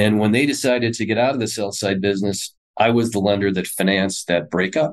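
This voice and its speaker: In an American accent, a man with a fairly low pitch speaks at a very fast pace, with ordinary pitch variation and very even loudness. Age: 50s. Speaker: investment firm president. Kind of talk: interview.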